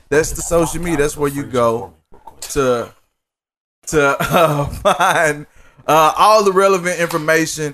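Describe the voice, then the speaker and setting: A man with an ordinary speaking voice, fairly slow pace and ordinary pitch variation. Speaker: podcast host. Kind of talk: casual, slangy.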